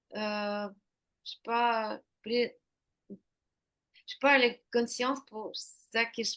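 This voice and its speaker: Speaking at a very slow pace, a woman with a Ukrainian accent holds a monotone, flat intonation. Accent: Eastern European (Ukrainian) accent in French. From Ukraine. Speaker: intuitive painter. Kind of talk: interview. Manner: halting.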